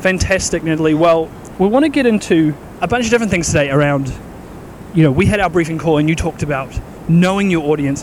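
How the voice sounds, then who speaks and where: Over noticeable background noise, a man with a fairly high pitch speaks at a very fast pace with ordinary pitch variation. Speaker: podcast host. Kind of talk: casual interview while walking. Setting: outdoors walking.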